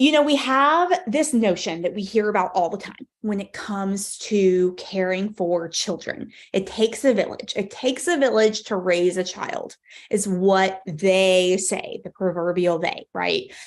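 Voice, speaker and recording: A woman with an American accent, medium pitch, ordinary pitch variation and an animated tone, at a fairly slow pace with hardly any pauses. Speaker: parenting coach. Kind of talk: live webinar keynote. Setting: online livestream with chat.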